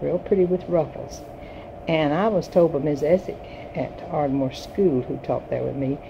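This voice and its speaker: The speaker, with a North Carolina accent, talks at a moderate pace with fairly even intonation over noticeable background noise. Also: woman. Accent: Southern US, North Carolina. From US South, Yadkin County, North Carolina. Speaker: retired teacher. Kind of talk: personal reminiscence. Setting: home recording.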